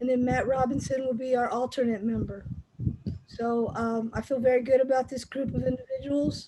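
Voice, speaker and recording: A woman's high-pitched voice, dark and mellow in tone, at a moderate pace. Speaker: chapter president of a basketball officials association. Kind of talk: online meeting address. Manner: loud.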